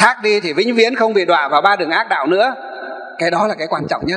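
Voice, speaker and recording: Very fast delivery with ordinary pitch variation. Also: man. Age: 40s. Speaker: Buddhist monk, abbot; Buddhist monk teacher. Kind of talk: sermon. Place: hall. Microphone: handheld.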